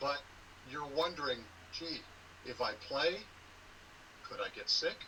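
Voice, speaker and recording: Speaking fairly slowly in an American accent, a man is heard with noticeable background noise. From Southern California. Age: 60s. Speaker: sports conference commissioner and former sportscaster. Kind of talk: interview.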